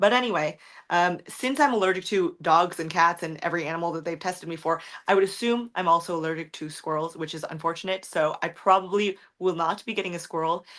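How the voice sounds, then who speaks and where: Talking very fast at a fairly low pitch, a woman shows ordinary pitch variation in a very clean recording with a silent background. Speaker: streamer. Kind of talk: livestream chat reading comments.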